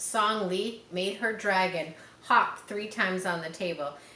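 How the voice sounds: Fairly even intonation in a natural reading voice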